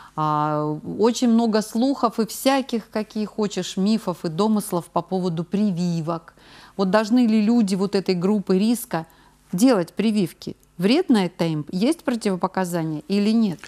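Against a quiet background, a woman talks at a fairly slow pace in a dark, mellow tone with ordinary pitch variation. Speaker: TV presenter. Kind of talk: live TV health call-in show. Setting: TV studio. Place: studio. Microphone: lapel.

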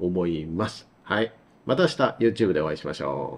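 A man is speaking. His intonation is lively. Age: 40s. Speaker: advertising producer and solo channel host; solo channel host. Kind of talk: casual solo talk. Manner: halting, many filler sounds. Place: home room.

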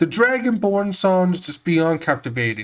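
On a very clean recording with a silent background, a man talks at a fairly quick pace in a normal speaking voice with lively intonation. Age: 20s. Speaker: video game reviewer. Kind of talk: scripted narration.

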